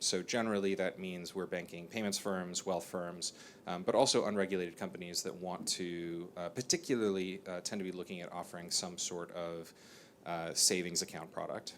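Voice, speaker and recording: A man with an American accent speaks at a very deep, low pitch. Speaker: bank chief executive. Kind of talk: panel discussion. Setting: stage with audience.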